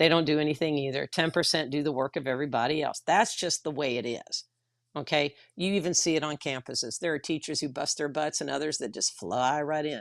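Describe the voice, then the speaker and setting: Speaking with a Texan accent, a woman has a very deep, low pitch. Her pace is fairly quick, with ordinary pitch variation. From Texas. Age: 60s. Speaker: retired teacher and union activist. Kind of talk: livestream discussion. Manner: blunt.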